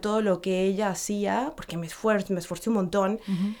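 At a moderate pace, a woman talks with a medium pitch. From Mexico. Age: 40s. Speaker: actress and voice coach. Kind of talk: casual interview chat. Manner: hesitant, many fillers.

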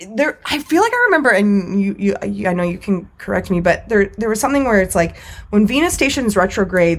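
The speaker uses lively intonation at a fairly quick pace. Noticeable background noise runs underneath. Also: woman, medium pitch for a woman. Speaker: podcast co-host. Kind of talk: casual banter. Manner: joking, sarcastic.

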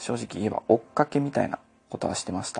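A man talks with very wide pitch swings. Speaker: podcaster. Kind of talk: solo casual monologue. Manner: halting.

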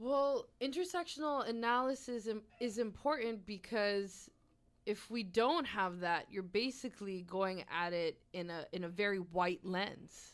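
At a fairly slow pace, a woman of medium pitch speaks in a plain, everyday voice. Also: lively intonation. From Nova Scotia, Canada (Halifax). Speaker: activist. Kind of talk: casual conversational interview.

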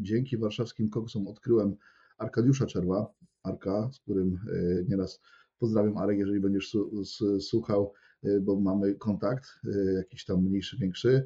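A man's dark, mellow voice, somewhat breathy, with fairly even intonation. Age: 20s. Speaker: personal trainer. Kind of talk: casual interview. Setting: wearing headphones, recording.

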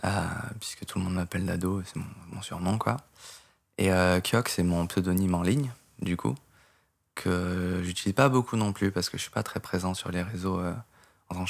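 With a very deep, low pitch and ordinary pitch variation, a man speaks at a moderate pace with long, frequent pauses on a very clean recording with a silent background. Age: 20s. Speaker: programmer and game modder. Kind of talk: casual interview. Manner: calm, composed; hesitant, many fillers.

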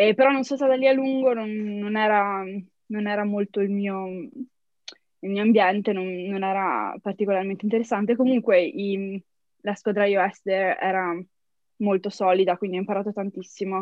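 A woman's medium-pitched voice with a Trentino accent. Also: fairly even intonation, moderate pace. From Trento, northern Italy. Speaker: software engineer. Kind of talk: interview. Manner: frequent laughter; halting, English words mixed in.

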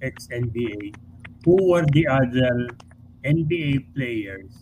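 A somewhat breathy man talks at a very slow pace. His pitch varies in an ordinary way. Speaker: sports columnist. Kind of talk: casual chat.

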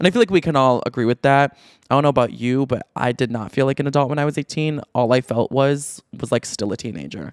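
A man with a Midwestern accent, medium in pitch with ordinary variation, animated and very fast, in a dry, close sound with no echo on a very clean recording with a silent background. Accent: general American, Midwestern. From Chicago, US Midwest. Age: 20s. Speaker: podcaster and social media creator. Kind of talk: casual chat, monologue to audience. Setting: studio, solo podcast. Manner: chatty, animated, conversational; pauses or blocks on P and B sounds.

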